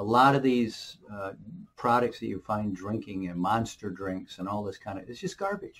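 Lively intonation marks this man's speech at a moderate pace. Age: 60s. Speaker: alternative health video creator. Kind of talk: casual monologue giving health advice. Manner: rambling, persuasive, filler-heavy. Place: office. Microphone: webcam.

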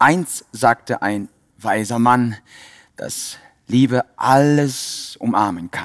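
Against a quiet background, a man speaks very slowly. His loudness swings widely. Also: ordinary pitch variation. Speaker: yoga teacher. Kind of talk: guided meditation. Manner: calm, rhythmic, reflective; slow, soothing, repetitive phrasing. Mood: calm, warm, heartfelt. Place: hall. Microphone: headset.

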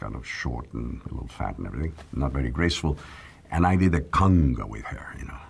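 At a fairly quick pace, a man with a very deep, low pitch speaks with lively intonation and big swings in loudness. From northern Mexico. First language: Spanish. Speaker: actor. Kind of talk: interview answer. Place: studio.

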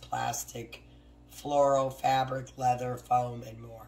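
Talking at a fairly slow tempo in an American accent, a woman is heard over noticeable background noise. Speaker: craft YouTuber. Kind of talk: tutorial. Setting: home craft studio, with barking dogs. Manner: casual, talks while working.

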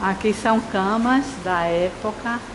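Noticeable background noise sits behind a woman's voice. Her intonation stays fairly even. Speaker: travel vlogger. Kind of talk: vlog narration. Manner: speaking quietly.

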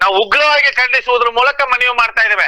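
Against noticeable background noise, a man projects a raised voice at an extremely high pitch, the sound dry and close with no echo. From Mysore, Karnataka. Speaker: language activist. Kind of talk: phone interview. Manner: animated.

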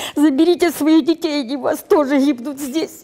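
Against a quiet background, a woman speaks at a moderate pace with ordinary pitch variation. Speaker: interviewee. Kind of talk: emotional appeal. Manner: impassioned. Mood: grieving, crying, angry. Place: hall.

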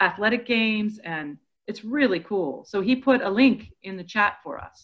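Using a normal speaking voice, a woman talks at a fairly high pitch with lively intonation. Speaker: workshop co-facilitator. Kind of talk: online professional development workshop. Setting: video call. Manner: upbeat, warm.

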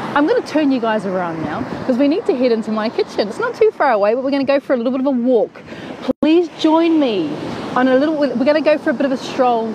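A woman with a high voice talks very fast, her intonation lively. There is noticeable background noise, and the sound is dry with no echo. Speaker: cooking show host. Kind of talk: casual live stream chat. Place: beach. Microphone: earbuds.

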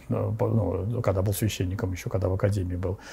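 A somewhat breathy male voice, dark and mellow in tone, at a moderate pace. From Russia, Sergiev Posad (Moscow region); Moscow region, Russia. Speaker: Orthodox bishop. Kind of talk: interview, personal recollections. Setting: at his home. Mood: calm, earnest. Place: cafe.

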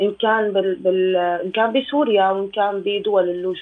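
The intonation of this woman's voice is fairly even. She keeps to a moderate pace. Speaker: guest. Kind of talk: interview answer. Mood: serious, concerned. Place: home room. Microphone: video call.

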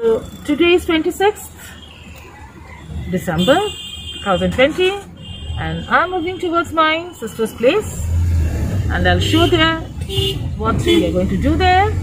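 With noticeable background noise, a woman speaks at a fairly slow pace, pausing long and often. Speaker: travel vlogger. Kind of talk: casual vlog chat. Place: car. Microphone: phone near.

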